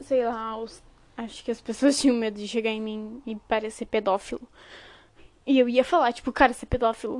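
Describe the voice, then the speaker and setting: A woman speaks at a fairly quick pace with a fairly high pitch and fairly even intonation. Her loudness swings widely. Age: 20s. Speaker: podcast host. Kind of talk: casual monologue.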